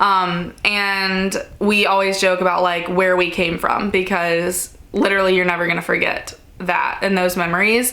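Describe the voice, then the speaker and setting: Delivered at a moderate pace in a monotone, flat way with very even loudness, the speech carries audible room echo and noticeable background noise. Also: woman, medium pitch for a woman. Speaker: lifestyle YouTuber. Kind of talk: casual Q&A chat. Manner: loud, projecting; casual, filler-heavy.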